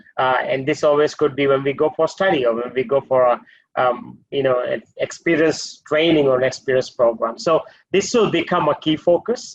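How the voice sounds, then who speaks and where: With a Maldivian accent, a man speaks at a moderate pace in a fairly high pitch, showing ordinary pitch variation. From Maldives. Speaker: hotel group executive. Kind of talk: webinar panel discussion.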